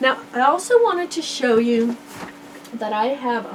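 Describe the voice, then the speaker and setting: Behind the woman's speech, background noise is noticeable. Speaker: crafter selling handmade journal kits. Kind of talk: product showcase video. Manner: animated.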